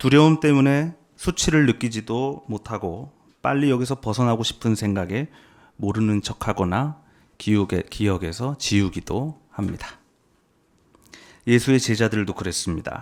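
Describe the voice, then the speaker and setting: Over a very clean recording with a silent background, a man talks at a medium pitch and moderate pace, with lively intonation and long, frequent pauses. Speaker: preacher. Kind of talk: sermon.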